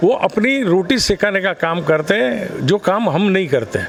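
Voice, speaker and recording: This man's voice sits high for a man, his intonation lively, with noticeable background noise behind him. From Mumbai, India. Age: 60s. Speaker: politician. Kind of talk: interview. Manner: animated.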